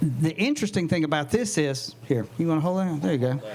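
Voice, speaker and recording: Over noticeable background noise and audible room echo, a man with a Southern US accent and fairly high pitch talks in an animated tone with lively intonation. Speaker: herbalist. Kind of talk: lecture. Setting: tent talk with live audience and microphone.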